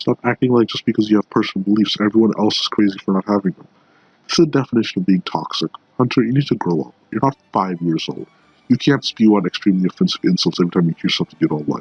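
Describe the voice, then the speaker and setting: Music plays in the background as a man talks at a very fast pace. His voice is fairly low, with lively intonation. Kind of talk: political commentary rant to camera.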